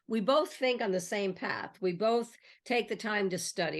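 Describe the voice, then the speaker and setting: At a moderate pace, a plain, everyday voice speaks in an American accent. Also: woman. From US, New York City. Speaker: real estate educator and channel host. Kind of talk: conversational interview.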